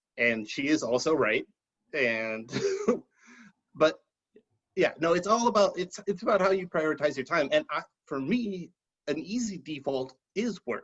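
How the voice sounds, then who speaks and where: Loud and fairly high-pitched, a man speaks at a fairly slow pace with very wide pitch swings and long, frequent pauses. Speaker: writer and podcast guest. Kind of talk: interview.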